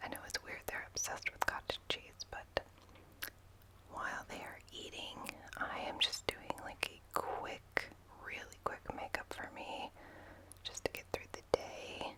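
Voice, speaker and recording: Whispering at a fairly slow pace comes with big swings in loudness and noticeable background noise. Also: woman. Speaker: stay-at-home mom, ASMR content creator. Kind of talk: whispered ASMR vlog, casual talk to camera. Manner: whispered, soft-spoken.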